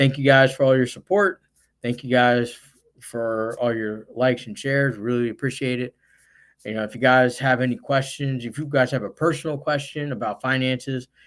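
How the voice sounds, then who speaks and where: Recorded very cleanly against a silent background, a man with an American accent and medium pitch talks at a fairly quick pace with fairly even intonation and big swings in loudness. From US Northeast (central New Jersey). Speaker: investing live-stream host. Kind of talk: live stream chat. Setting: live stream. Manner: loud, voice carries; casual with many fillers.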